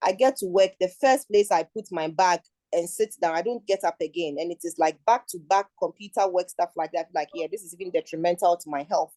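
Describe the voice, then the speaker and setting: A woman with a Ghanaian accent speaks at a fairly quick pace in a medium pitch, her dark, mellow tone rising and falling widely in loudness, with ordinary pitch variation and a dry, close sound with no echo. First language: Twi. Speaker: international advisor, forum speaker. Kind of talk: talk at an online forum. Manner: halting, with repeated words.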